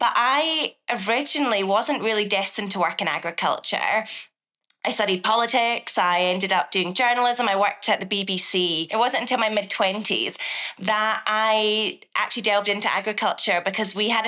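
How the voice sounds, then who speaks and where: A woman's fairly high-pitched voice in a Scottish accent, bright and sharp in tone, at a moderate pace with very even loudness and ordinary pitch variation. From Scotland, southwest coast. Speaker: agricultural consultant and former journalist. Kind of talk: podcast interview.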